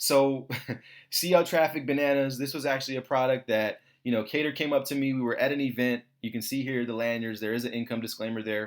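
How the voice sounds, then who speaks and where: A man speaks very fast at a medium pitch. The recording is very clean, with a silent background. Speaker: online marketing promoter. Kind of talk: sales pitch. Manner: animated.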